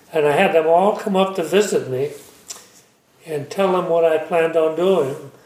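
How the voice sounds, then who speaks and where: Over noticeable background noise, a man with an American accent speaks at a fairly high pitch with fairly even intonation. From Mendocino County, California. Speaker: vineyard owner and winemaker. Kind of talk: interview. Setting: home kitchen.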